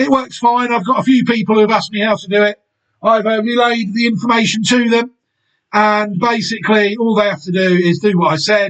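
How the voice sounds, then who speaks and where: Fairly even in intonation, a man talks at a fairly quick pace in a high pitch. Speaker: horse racing YouTuber. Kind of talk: solo video analysis. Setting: home recording, window shut. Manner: casual.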